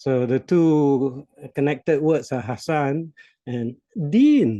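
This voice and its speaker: A man with a Malaysian accent, fairly high in pitch, dark and mellow in tone, at a very slow pace with ordinary pitch variation. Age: 60s. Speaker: business coach. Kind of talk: podcast interview.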